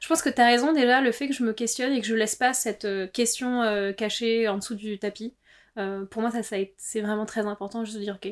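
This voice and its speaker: The recording is very clean with a silent background, and the voice moves at a fairly quick pace with fairly even intonation. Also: woman, fairly high pitch for a woman. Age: 30s. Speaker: interviewee sharing personal story. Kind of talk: personal testimony.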